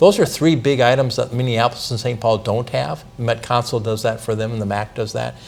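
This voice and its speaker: With music in the background, a man talks at a fairly quick pace using ordinary pitch variation. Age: 60s. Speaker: city council member. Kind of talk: interview.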